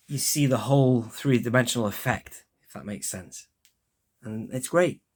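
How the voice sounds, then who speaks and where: A man of medium pitch speaks at a moderate pace, with ordinary pitch variation and big swings in loudness. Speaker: toy collector YouTuber. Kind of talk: product review. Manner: lethargic.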